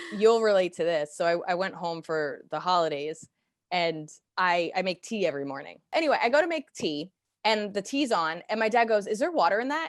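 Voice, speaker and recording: Against a quiet background, a woman with a medium pitch talks fairly quickly in an animated tone, her pitch swinging very widely. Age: 30s. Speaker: podcast co-host. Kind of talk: casual chat.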